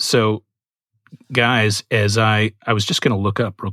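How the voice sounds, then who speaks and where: A man with an unremarkable speaking voice talks at a fairly slow pace and a fairly low pitch, the sound dry and close with no echo. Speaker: podcast host. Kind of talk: casual chat.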